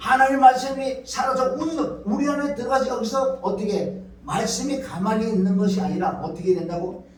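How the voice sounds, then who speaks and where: With audible room echo and noticeable background noise, a man with an extremely high pitch talks at a moderate pace, with ordinary pitch variation and hardly any pauses. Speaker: pastor. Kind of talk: sermon.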